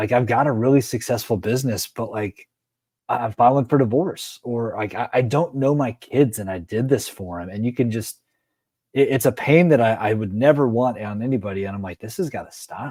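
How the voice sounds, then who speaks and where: An unremarkable speaking voice with ordinary pitch variation and big swings in loudness, in a very clean recording with a silent background. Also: man, medium pitch for a man, fairly quick pace. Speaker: leadership coach and show host. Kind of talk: interview conversation.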